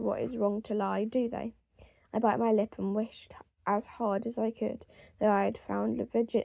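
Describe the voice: The delivery is plain reading aloud.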